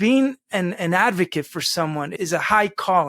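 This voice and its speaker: A man's high-pitched voice with a Spanish accent, dry and close with no echo, in a very clean recording over a silent background. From US, Spanish-speaking home. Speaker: lawyer, Iraq war veteran. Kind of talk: podcast interview.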